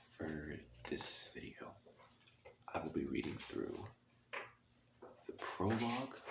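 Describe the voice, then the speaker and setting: Someone soft-spoken talks at a very slow pace over noticeable background noise. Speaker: ASMR reader. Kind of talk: casual talk to camera.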